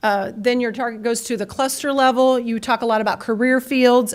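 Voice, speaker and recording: A woman speaks at a fairly quick pace with fairly even intonation. The recording is very clean, with a silent background. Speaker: conference speaker on career and technical education. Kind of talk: conference presentation. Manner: fast.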